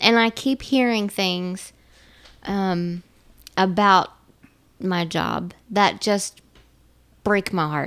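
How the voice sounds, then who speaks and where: Speaking at a very slow pace with long, frequent pauses, a woman uses a medium pitch and ordinary pitch variation. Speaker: co-host in recovery. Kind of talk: casual podcast conversation. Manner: loud.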